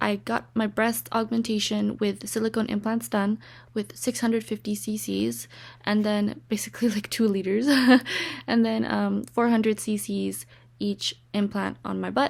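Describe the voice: Vocal fry runs through fairly even intonation delivered at a fairly slow pace with few pauses. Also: woman, medium pitch for a woman.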